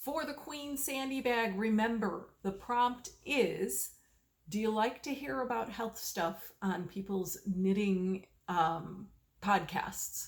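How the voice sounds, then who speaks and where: Speaking very slowly, a woman with a fairly high, somewhat breathy voice uses lively intonation. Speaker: knitting video podcaster. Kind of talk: casual chat. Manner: slow, fishing for words; halting, many fillers.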